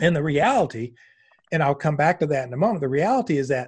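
Against a quiet background, a man speaks in a fairly high, somewhat breathy voice. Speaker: massage therapist and educator. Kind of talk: interview.

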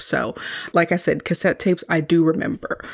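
An animated woman's voice with a fairly low pitch. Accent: American. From US South. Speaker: podcast host, media reviewer. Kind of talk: solo movie review. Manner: casual, animated.

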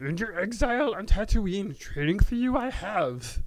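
The put-on character voice sits fairly high and moves at a moderate pace. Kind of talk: odd inverted word order.

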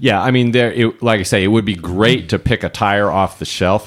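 A fairly quick pace with ordinary pitch variation. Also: man. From Alaska. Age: 50s. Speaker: automotive engineer and race car driver. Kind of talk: casual chat.

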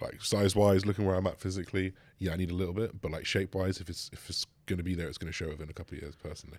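A man with an English accent talks at a very fast pace in a very deep, low voice. His intonation is monotone and flat, on a very clean recording with a silent background. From rural England. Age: 20s. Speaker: bodybuilder. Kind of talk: casual chat.

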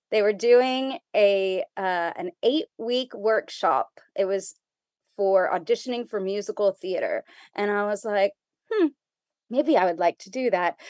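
Using an unremarkable speaking voice, a woman talks fairly slowly at a medium pitch, with lively intonation and big swings in loudness. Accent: American. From US South, Texas border (McAllen, Rio Grande Valley). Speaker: theater educator and workshop leader. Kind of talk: interview.

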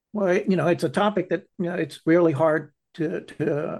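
Against a quiet background, a man with an American accent and a normal speaking voice talks at a moderate pace with fairly even intonation. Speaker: foundation founder. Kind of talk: interview.

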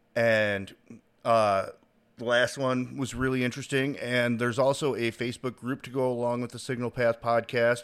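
In a very clean recording with a silent background, a man with an American accent speaks at a moderate pace, medium in pitch and monotone in his flat intonation. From Chicago. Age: 30s. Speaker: podcast host. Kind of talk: casual chat.

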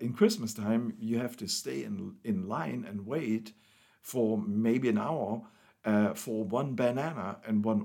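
A man with a German accent speaks in a medium pitch with a dark, mellow tone. His delivery is fairly slow, with lively intonation. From East Germany. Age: 60s. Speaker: pastor. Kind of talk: testimony. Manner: halting.

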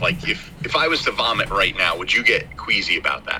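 A man delivers his words at a fairly quick pace while noticeable background noise plays behind him. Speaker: podcast host. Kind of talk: casual chat. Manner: hesitant, rambling.

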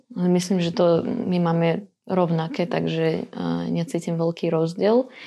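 Fairly slow speech from a woman with a fairly low pitch. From Ukraine, Dnipropetrovsk. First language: Russian (speaking Slovak). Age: 20s. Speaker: teacher. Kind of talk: casual interview. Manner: halting, hesitant.

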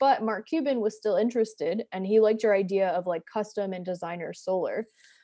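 Fairly high in pitch with ordinary pitch variation, a woman talks in a plain, everyday voice. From US Northeast (New Jersey). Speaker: entrepreneur and product designer. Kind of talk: interview. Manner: casual, filler-heavy.

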